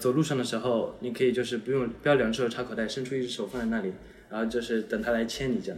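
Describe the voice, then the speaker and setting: Amid noticeable background noise, a man talks at a very fast pace with medium pitch and fairly even intonation. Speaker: university student giving dating advice. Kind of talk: casual chat.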